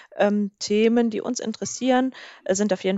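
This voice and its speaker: Here is a woman with an ordinary speaking voice. Her pitch variation is ordinary. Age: 20s. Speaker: podcast co-host. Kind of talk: casual chat. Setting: long-distance call.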